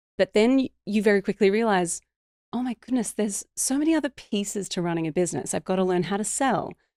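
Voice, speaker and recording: On a very clean recording with a silent background, a woman with an Australian accent talks at a very fast pace, her medium-pitched voice lively in intonation. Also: dry, close sound with no echo. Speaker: business coach. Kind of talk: podcast interview. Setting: podcast.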